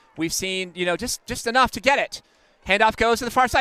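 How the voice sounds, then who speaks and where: Against noticeable background noise, a man uses a raised, projected voice with ordinary pitch variation. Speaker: play-by-play sports commentator. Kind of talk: live commentary. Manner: loud.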